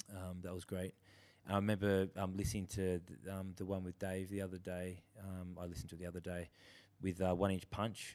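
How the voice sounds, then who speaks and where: A man with an Australian accent, very deep and low in pitch, monotone and flat, at a fairly quick pace with long, frequent pauses, on a very clean recording with a silent background. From Australia, Sydney. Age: 30s. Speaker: drummer. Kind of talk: casual chat.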